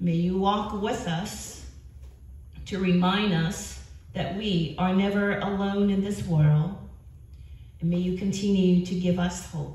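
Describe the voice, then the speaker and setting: Audible room echo surrounds a woman who talks at a very slow pace with fairly even intonation and long, frequent pauses. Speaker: pastor leading prayer. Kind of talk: spoken prayer. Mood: calm, reverent. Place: church.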